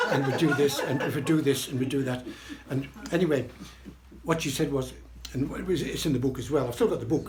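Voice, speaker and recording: With long, frequent pauses, a man with a fairly high pitch speaks with fairly even intonation, amid audible room echo and noticeable background noise. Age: 80s+. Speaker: birthday celebrant. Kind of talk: speech to party guests. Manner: rambling with repetitions.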